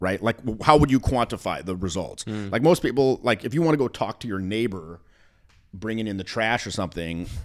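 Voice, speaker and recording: A man has an unremarkable speaking voice, fairly low in pitch, with lively intonation at a fairly quick pace. The recording is very clean with a silent background. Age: 40s. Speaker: dating and charisma coach. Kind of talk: casual chat.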